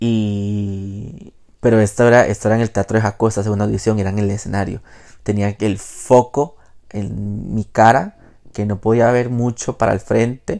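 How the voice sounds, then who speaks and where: A man talks at a moderate pace with a fairly low pitch and a dark, mellow tone. His intonation is monotone and flat, and the background is quiet. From Costa Rica, Pacific coast (Jacó). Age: 20s. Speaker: podcast host. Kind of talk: personal monologue. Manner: casual with frequent fillers and hesitations.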